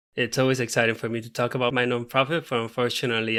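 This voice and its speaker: On a very clean recording with a silent background, a man with a bright, sharp tone and medium pitch talks at a very fast pace in monotone, flat intonation. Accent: Puerto Rican. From Puerto Rico. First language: Spanish. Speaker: veterinarian. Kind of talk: podcast interview.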